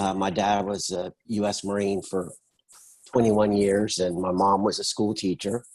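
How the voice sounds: A slightly mellow tone at a fairly slow pace, with little pitch movement. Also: man, fairly low pitch for a man.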